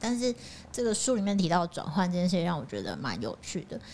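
With an unremarkable speaking voice, a woman talks at a moderate pace in a fairly low pitch with ordinary pitch variation. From Changhua, Taiwan. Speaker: co-reader guest. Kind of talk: casual book discussion.

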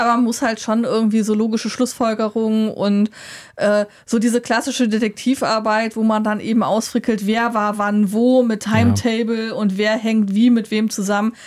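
Her fairly high voice holds a monotone, flat intonation. The woman's loudness stays very even. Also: moderate pace. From Germany. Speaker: board game podcast co-host. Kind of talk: casual chat. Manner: hesitant, many fillers.

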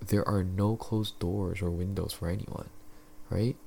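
This is a man with a fairly low pitch. His voice is somewhat breathy. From Philippines. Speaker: podcast host. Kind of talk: casual solo monologue. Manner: casual, filler-heavy.

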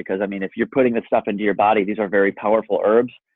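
With an American accent, a man speaks in a monotone, flat intonation at a fairly low pitch. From US Midwest, south of Chicago (Kankakee area). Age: 40s. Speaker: supplement company founder. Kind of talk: casual interview.

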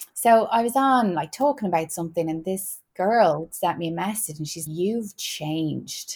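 A woman with an Irish accent speaks at a fairly slow pace and a fairly low pitch, with ordinary pitch variation. The recording is very clean, with a silent background. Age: 30s. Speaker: wellness podcast host. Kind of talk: casual chat.

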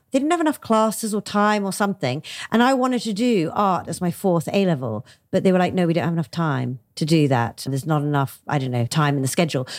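A very clean recording with a silent background: a woman with a London accent, fairly low in pitch, very fast, with very wide pitch swings. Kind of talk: interview.

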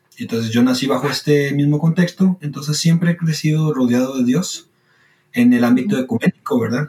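Speaking at a fairly quick pace, a man has a plain, everyday voice with a fairly high pitch and ordinary pitch variation. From Costa Rica. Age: 20s. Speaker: student and logistics worker sharing faith story. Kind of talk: testimony.

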